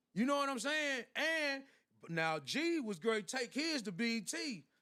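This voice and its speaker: A man with an American accent speaks in an extremely high pitch with a bright, sharp tone and a raised, projected voice. He talks at a fairly slow pace with very wide pitch swings. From Tennessee, Knoxville area. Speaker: rapper. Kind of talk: casual interview chat. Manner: animated.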